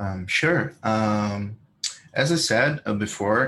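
A man with a Brazilian accent talks at a fairly low pitch. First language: Portuguese. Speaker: WordPress plugin developer. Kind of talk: interview.

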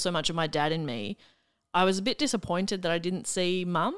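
A woman's medium-pitched voice in an Australian accent, at a fairly quick pace, in a very clean recording with a silent background. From Melbourne, Australia. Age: 30s. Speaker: comedian and radio broadcaster. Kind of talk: casual interview chat.

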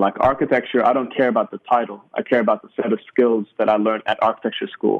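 Speaking very fast, a man talks with a New Zealand accent. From New Zealand, Sudanese roots. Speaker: stand-up comedian. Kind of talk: interview.

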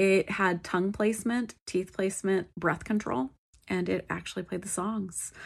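At a moderate pace and medium pitch, a woman talks in a relaxed tone with vocal fry over a quiet background. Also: ordinary pitch variation. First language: English; self-described poor French pronunciation. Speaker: solo history podcast host. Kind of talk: casual solo narration. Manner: frequent fillers, relaxed.

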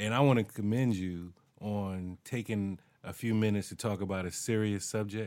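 In a very clean recording with a silent background, a man with a normal speaking voice speaks at a moderate pace in a fairly low pitch. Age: 40s. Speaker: podcast co-host and studio owner. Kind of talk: casual chat.

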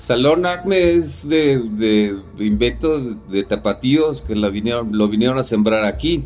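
A man's medium-pitched voice with very wide pitch swings, at a fairly slow pace with hardly any pauses, over music in the background. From Mexico City. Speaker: curator and artist. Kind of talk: casual interview chat.

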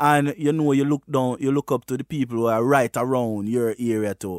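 The speaker has a Jamaican accent. The recording is very clean, with a silent background and a dry, close sound with no echo. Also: man. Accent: Jamaican patois. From Jamaica, Westmoreland. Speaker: reggae artist. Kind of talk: casual interview.

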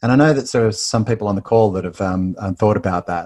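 On a very clean recording with a silent background, a man with an Australian accent speaks at a fairly low pitch with ordinary pitch variation. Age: 50s. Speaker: business referral trainer. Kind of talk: interview.

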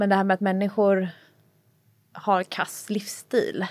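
This woman has an ordinary speaking voice. She talks at a moderate pace. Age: 30s. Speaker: personal trainer and author. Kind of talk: casual chat.

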